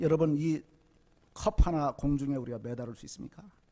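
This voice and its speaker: A man talks at a fairly quick pace. His pitch moves in an ordinary way. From rural South Korea. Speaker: lay preacher, former prosecutor. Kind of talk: sermon with personal testimony. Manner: fast.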